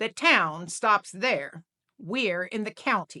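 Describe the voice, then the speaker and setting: A woman at medium pitch in a put-on character voice, very slow in pace with lively intonation, in a dry, close sound with no echo. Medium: read story. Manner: dry, deadpan.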